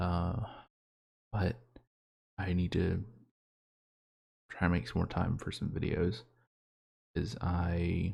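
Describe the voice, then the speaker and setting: Soft-spoken and whispering with vocal fry, a man talks at a very slow pace with long, frequent pauses. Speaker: solo vlogger. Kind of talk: casual monologue. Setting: home bedroom, quiet for parents. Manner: soft-spoken, near whisper; halting.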